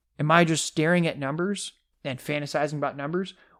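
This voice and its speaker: In an animated tone, a man talks over a silent background on a very clean recording. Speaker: fantasy football podcast co-host. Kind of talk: casual podcast discussion. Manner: fast.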